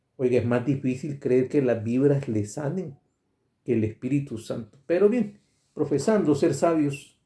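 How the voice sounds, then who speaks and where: The voice is somewhat breathy and dark, mellow in tone, with ordinary pitch variation. It moves at a fairly slow pace, with long, frequent pauses and big swings in loudness. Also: man. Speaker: preacher. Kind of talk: sermon. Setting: radio broadcast. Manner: deliberately slowed, careful articulation; jokey, conversational asides.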